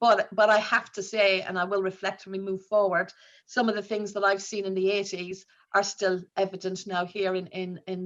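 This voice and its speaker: With an Irish accent, a woman speaks at a moderate pace in a medium pitch, her intonation monotone and flat. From Ireland. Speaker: nurse leader. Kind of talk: conference talk. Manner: halting, many fillers.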